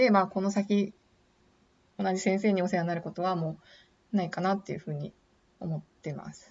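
Her medium-pitched voice is somewhat breathy, with fairly even intonation and big swings in loudness. The woman speaks at a fairly quick pace but leaves long, frequent pauses. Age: 30s. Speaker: podcaster working in beauty industry. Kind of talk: casual monologue. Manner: hesitant, many fillers.

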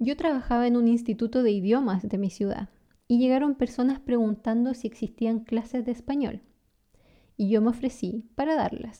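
In a Chilean accent, a woman speaks at a moderate pace with a dark, mellow tone, high pitch and fairly even intonation. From Chile (San Carlos, south-central). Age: 30s. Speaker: language teacher and podcast host. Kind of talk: scripted narration. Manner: clear, natural pace for learners.

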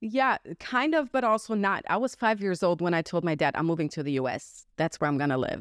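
With a German accent, a woman talks fairly quickly in a fairly low voice that swings very widely in pitch. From Germany. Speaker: entrepreneur and podcast host. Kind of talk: interview.

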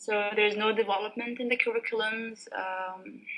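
A woman with an Arabic accent speaks at a fairly slow pace. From Sudan. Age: 20s. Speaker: software engineer and former lecturer. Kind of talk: casual interview. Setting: Skype call.

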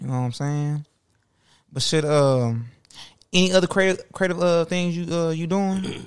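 Long, frequent pauses break up a man's speech. Otherwise his pace is moderate, his pitch high, with ordinary variation. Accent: American. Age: 20s. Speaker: podcast host. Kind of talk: casual chat. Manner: animated.

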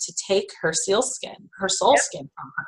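A normal speaking voice from a woman at medium pitch, fairly slow, with lively intonation. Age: 40s. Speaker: spiritual healer. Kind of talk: casual interview.

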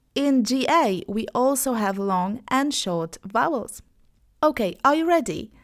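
At a very slow pace, a woman speaks in a high pitch with very wide pitch swings. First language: Polish. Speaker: online English teacher, podcast host. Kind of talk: language lesson. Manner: slow, clearly enunciated.

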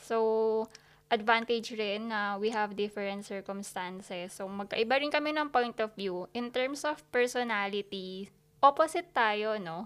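At a fairly slow pace, a woman speaks with a fairly high pitch and ordinary pitch variation on a very clean recording with a silent background. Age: 20s. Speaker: podcast co-host. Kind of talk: casual chat. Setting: home recording. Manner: animated.

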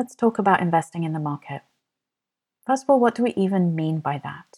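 A woman with a fairly low pitch speaks at a fairly quick pace with lively intonation. The recording is very clean with a silent background and a dry, close sound with no echo. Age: 40s. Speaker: podcast host, money coach. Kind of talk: solo podcast monologue.

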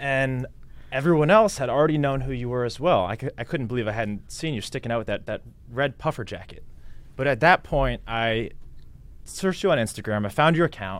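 A man speaks in a normal speaking voice at a medium pitch, moving at a fairly quick pace with lively intonation. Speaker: podcast host. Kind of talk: casual interview. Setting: video recording in office.

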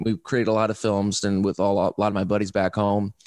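A man with an American accent speaks at a fairly quick pace in an unremarkable speaking voice, his pitch fairly low. The sound is dry and close, with no echo. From Indiana, Fort Wayne. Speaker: filmmaker. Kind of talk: casual interview. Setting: video call.

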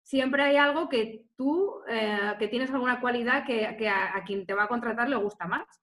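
A woman speaks in a normal speaking voice, fairly high in pitch with ordinary pitch variation. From Spain, Salamanca. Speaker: tourism marketing specialist. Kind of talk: interview.

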